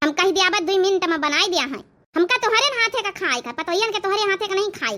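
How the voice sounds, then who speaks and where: This squeaky, cartoonish character voice moves at a fairly quick pace with lively intonation. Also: woman, extremely high pitch for a woman. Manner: bossy, nagging.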